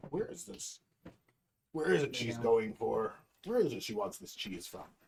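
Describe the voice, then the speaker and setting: A man performs a put-on character voice with big swings in loudness. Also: medium pitch for a man, moderate pace. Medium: actual play.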